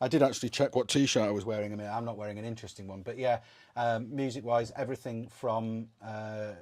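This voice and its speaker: Speaking very fast with a Welsh accent, a man keeps a monotone, flat intonation at medium pitch, in a very clean recording with a silent background. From Wales. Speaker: sailing channel host. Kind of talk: livestream Q&A.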